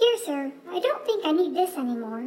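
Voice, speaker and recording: Putting on a squeaky character voice, a woman speaks at a moderate pace with an extremely high pitch and very wide pitch swings. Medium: read story. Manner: polite.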